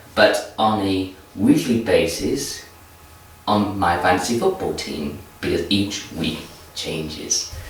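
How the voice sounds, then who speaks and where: A man speaks very slowly amid noticeable background noise and audible room echo. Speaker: football vlogger. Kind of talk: casual vlog commentary. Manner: repetitive restarts.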